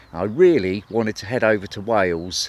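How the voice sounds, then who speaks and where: He speaks with an English accent. The speaker is a man. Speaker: narrowboat vlogger. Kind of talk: vlog narration. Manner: casual, with hesitations.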